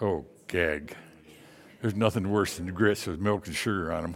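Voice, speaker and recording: The recording is very clean, the background silent. A man speaks in an American accent. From Michigan. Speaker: missionary. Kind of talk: sermon. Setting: church.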